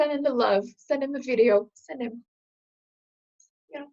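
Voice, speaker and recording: A woman speaks with a Quebec French accent and ordinary pitch variation. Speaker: HR consultant. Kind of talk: vlog-style business talk to camera. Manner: animated.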